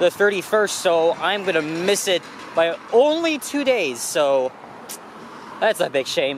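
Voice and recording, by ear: Faint background noise sits behind a man speaking at a high pitch.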